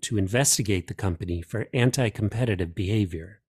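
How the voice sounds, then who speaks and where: The speech moves at a fairly quick pace with lively intonation and a somewhat breathy quality. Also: man. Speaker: news podcast host. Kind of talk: news reading, scripted morning briefing. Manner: formal, crisp, steady newsreader pace.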